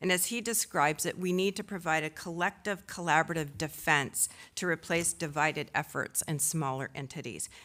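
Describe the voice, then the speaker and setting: On a very clean recording with a silent background, a woman talks at a fairly quick pace with hardly any pauses, a fairly low pitch, ordinary pitch variation, and a bright, sharp tone. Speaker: tech industry association executive, panel speaker. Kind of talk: conference speech. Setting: conference stage with audience. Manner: normally loud.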